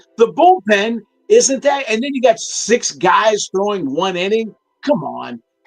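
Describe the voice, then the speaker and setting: Over background music, a man with an American accent speaks fairly slowly in a high pitch and an animated tone, with a dry, close sound and no echo. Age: 60s. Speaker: sports talk co-host. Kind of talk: casual sports talk. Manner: animated, halting with repeated restarts.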